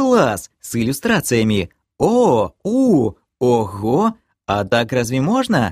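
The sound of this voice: In a put-on character voice, a man whines slowly with very wide pitch swings and a slightly mellow tone, on a very clean recording with a silent background and a dry, close sound with no echo. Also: medium pitch for a man.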